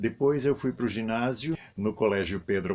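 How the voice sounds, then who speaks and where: It's quiet behind the speaker. The man delivers his words at a moderate pace, his pitch varying in an ordinary way. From southern Brazil, Paraná interior (Lapa). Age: 70s. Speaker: stage actor. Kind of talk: testimony.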